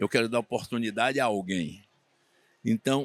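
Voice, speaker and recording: The man's tone is bright and sharp, at medium pitch and a moderate pace. The sound is dry and close, with no echo. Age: 70s. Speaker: swimming coach and sports official. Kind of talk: interview.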